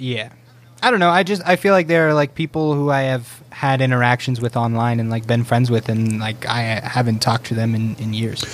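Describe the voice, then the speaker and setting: This man has an unremarkable speaking voice, medium in pitch, with ordinary pitch variation and a fairly quick pace. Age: 20s. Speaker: streamer. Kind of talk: casual chat.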